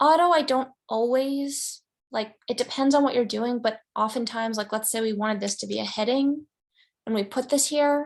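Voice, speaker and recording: Over a quiet background, a woman talks at a moderate pace in a fairly high voice with ordinary pitch variation. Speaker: graphic design teacher. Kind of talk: screen-share tutorial lecture. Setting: screen-shared online class. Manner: animated, casual.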